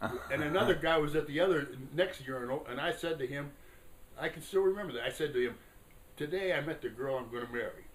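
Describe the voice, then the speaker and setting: A man races along at a very fast pace, his pitch varying in an ordinary way, while noticeable background noise sits behind him. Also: fairly high pitch for a man. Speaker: Korean War veteran. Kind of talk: interview answer. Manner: hesitant, conversational.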